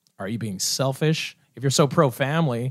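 A man with a Canadian accent speaks at a fairly high pitch with ordinary pitch variation, recorded very cleanly against a silent background. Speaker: debate show moderator. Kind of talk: comedic improv debate.

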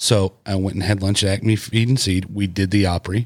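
This man has a very deep, low pitch. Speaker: podcast host. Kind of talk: casual chat.

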